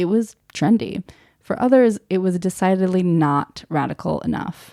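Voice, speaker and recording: A woman speaks with an American accent at a moderate pace and medium pitch, with ordinary pitch variation. Her tone is dark and mellow, and the sound is dry and close with no echo. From Germany. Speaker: podcast host. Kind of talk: scripted narration.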